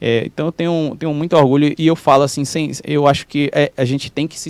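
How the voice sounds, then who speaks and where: A man is speaking. He has a slight rural Brazilian accent. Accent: Brazilian countryside accent, slight. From Brazilian countryside (interior). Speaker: physiotherapist and professor. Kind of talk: podcast interview. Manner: halting, with frequent repetitions.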